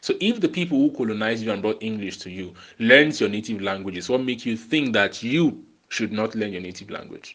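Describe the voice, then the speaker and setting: A man at medium pitch with a Nigerian accent, quiet background. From Nigeria, Lagos. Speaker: podcast host. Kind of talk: monologue podcast. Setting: solo recording, no background music.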